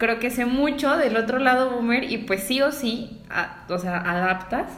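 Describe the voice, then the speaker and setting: Ordinary pitch variation at a fairly slow pace, with audible room echo and noticeable background noise. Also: woman. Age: 20s. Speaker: podcast co-host, graphic designer. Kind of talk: casual chat.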